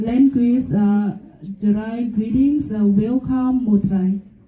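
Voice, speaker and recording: A woman with a Vietnamese accent speaks at a very slow pace in a fairly high pitch with ordinary pitch variation, over noticeable background noise. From Vietnam, Central Highlands (Jarai). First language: Jarai. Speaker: presenter on her culture. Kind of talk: class presentation. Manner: halting, many fillers.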